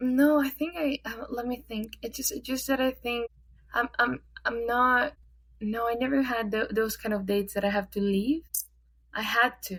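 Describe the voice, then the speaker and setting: A woman with a high-pitched voice talks at a moderate speed. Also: ordinary pitch variation. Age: 20s. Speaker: podcast co-host. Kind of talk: casual chat.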